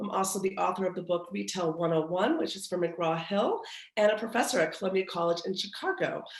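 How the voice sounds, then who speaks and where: Fairly quick, fairly even speech from a woman at a medium pitch, with noticeable background noise. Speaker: retail industry expert and professor. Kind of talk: webinar presentation.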